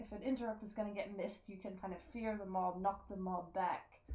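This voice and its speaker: Against noticeable background noise, a soft-spoken woman talks at a fairly quick pace. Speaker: gamer and streamer. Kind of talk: game tutorial voice-over. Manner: soft-spoken, quiet; casual, many fillers.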